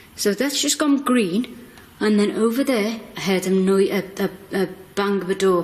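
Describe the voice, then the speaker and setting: At a fairly slow pace, the words come through noticeable background noise. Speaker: paranormal investigator. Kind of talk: live ghost-hunt commentary. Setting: museum.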